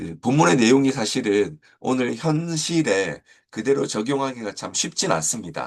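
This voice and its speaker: Over a quiet background, a man with vocal fry speaks at a medium pitch and a fairly slow pace, his pitch swinging very widely. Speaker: church education pastor. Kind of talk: teacher guide lecture. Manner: hesitant with many fillers.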